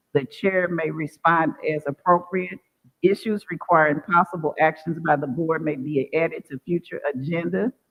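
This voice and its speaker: This man has a high pitch and fairly even intonation. His pace is moderate. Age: 60s. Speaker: school board chair. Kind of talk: public meeting chairing; reading aloud rules. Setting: boardroom meeting with audience. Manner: formal.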